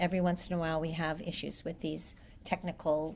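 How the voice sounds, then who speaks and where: Somewhat breathy and fairly low in pitch, a woman talks at a moderate pace in a flat monotone. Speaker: English teacher. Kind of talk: online class lecture.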